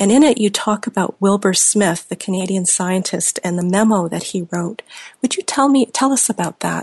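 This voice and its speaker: The woman speaks at a medium pitch, somewhat breathy, her pitch varying in an ordinary way. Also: moderate pace. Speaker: radio host. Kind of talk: radio interview.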